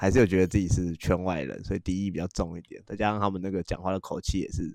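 A man speaks very fast with a very deep, low pitch. His intonation stays fairly even on a very clean recording with a silent background. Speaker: podcast host. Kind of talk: casual chat.

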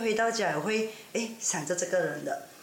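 A woman talks at a moderate pace amid audible room echo and noticeable background noise. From Ipoh, Perak, Malaysia. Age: 40s. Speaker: guest. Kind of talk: casual chat.

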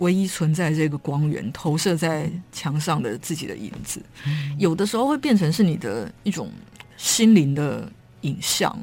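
The voice moves at a moderate pace with very wide pitch swings and vocal fry. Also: woman, very deep, low pitch for a woman. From Taiwan, Kaohsiung. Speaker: writer. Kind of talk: interview; reading aloud. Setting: studio.

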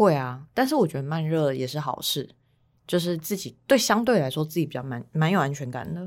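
A woman speaks with a very deep, low pitch. Her voice makes very wide pitch swings. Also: fairly quick pace, very clean recording, silent background. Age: 30s. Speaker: podcast co-host. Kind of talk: casual chat.

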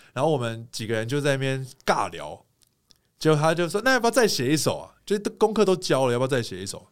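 Speaking at a very fast pace, a man with a fairly high pitch swings widely in both pitch and loudness. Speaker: singer and TV host. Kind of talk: casual interview chat.

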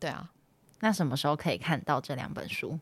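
On a very clean recording with a silent background, a woman speaks at a very deep, low pitch with ordinary pitch variation. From Taiwan. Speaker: actress and translator, podcast host. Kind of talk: casual solo talk. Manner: hesitant, many fillers.

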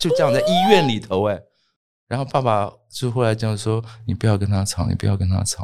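The man talks at a fairly quick pace. His pitch is medium, with ordinary variation. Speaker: writer and professor. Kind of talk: interview testimony. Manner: hesitant with many fillers.

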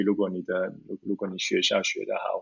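A man talks at a moderate pace. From Zurich, Switzerland. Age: 30s. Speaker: lawyer. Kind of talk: interview. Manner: halting, many fillers.

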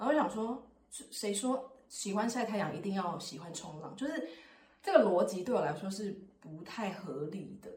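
Amid noticeable background noise, a woman of medium pitch speaks at a moderate pace with lively intonation and big swings in loudness. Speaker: podcast host. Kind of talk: casual chat.

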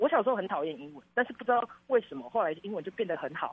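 Very wide pitch swings mark this man's speech. He goes at a very fast pace. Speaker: student teacher. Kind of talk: interview. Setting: online call.

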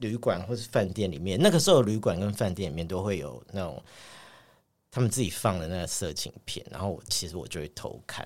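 Someone talks at a moderate pace on a very clean recording with a silent background. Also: man. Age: 40s. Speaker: podcast co-host. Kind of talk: casual chat.

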